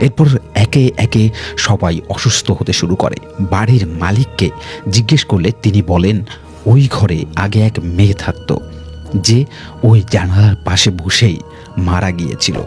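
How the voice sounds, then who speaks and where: Over music in the background, a man speaks with a fairly low pitch and ordinary pitch variation. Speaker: radio jockey. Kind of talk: horror story narration.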